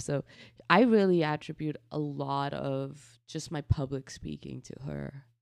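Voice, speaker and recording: In a very clean recording with a silent background, a woman's very deep, low voice comes through dry and close with no echo. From northern India. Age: 20s. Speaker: podcast co-host. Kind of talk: casual chat. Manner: animated, laughs often.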